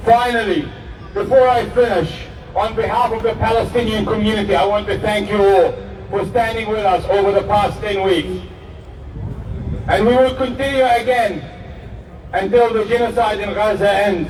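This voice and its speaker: Noticeable background noise and audible room echo surround a man with a high voice who speaks at a moderate pace, taking long, frequent pauses. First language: Arabic. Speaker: rally speaker. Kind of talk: rally speech.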